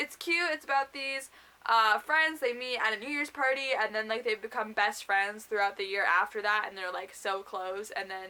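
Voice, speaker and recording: This loud voice has a bright, sharp tone, lively intonation and a moderate pace. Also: woman, fairly high pitch for a woman. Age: young. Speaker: booktuber. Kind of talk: casual vlog.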